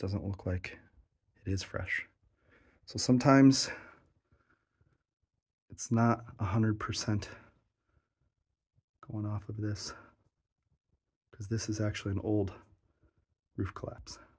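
A man with a fairly low, somewhat breathy voice speaks at a fairly slow pace with fairly even intonation and long, frequent pauses against a quiet background. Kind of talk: exploration commentary. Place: tunnel cave. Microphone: phone near.

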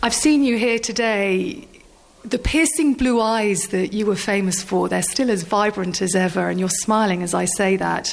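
A woman with an ordinary speaking voice talks at a moderate pace, her pitch medium and its variation ordinary. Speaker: sports journalist. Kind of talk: interview question.

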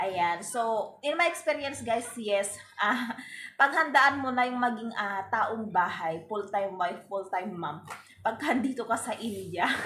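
Over noticeable background noise, a woman with a fairly high pitch speaks at a fairly slow pace with lively intonation. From Philippines. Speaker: vlogger. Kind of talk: casual vlog talk to camera.

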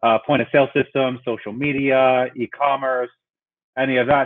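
With fairly even intonation and a moderate pace, a man speaks in quiet surroundings. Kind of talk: workshop presentation. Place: home room. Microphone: webcam.

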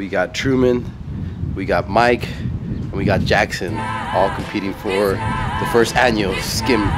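Amid loud background noise, a man speaks at a very slow pace. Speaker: vlogger. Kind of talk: casual vlog chat. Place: garden. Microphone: phone near.

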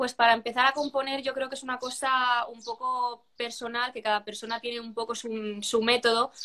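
Her fairly high, bright and sharp voice stays monotone and flat as the woman speaks at a moderate pace. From Spain, Cartagena (Murcia); Murcia, Spain. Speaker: singer-songwriter; interviewee. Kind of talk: interview. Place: home room. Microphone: video call.

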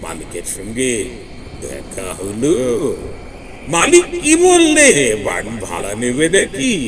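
Using a raspy, put-on character voice, a man speaks at a very slow pace with big swings in loudness, clear background noise behind him. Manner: cackling, eerie.

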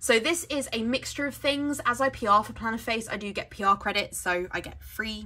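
With music playing behind her, a woman talks at a moderate pace, her pitch varying in an ordinary way. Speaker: planner sticker vlogger. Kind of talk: casual vlog chat. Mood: cheerful, laughs often. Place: home room.

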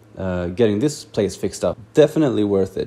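Over light background noise, a man speaks at a fairly low pitch. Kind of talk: interview answer. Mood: relaxed, reflective. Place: workshop.

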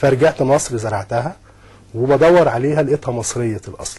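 The voice has a dark, mellow tone and sounds somewhat breathy. Its pitch varies in an ordinary way. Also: man. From Egypt, Sharqia countryside; Egypt. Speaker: agricultural scientist; guest. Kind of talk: TV interview; interview answer. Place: studio. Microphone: lapel.

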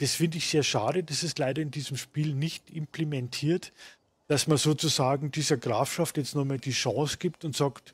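In a very clean recording with a silent background, a man speaks somewhat breathily at a fairly high pitch. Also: moderate pace. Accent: Munich. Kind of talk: gaming commentary, let's play. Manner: casual, jovial.

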